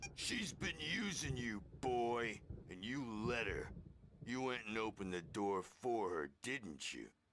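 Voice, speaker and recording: Putting on a raspy character voice at medium pitch, a man speaks at a fairly slow pace with lively intonation. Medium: video game. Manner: rambling, gruff.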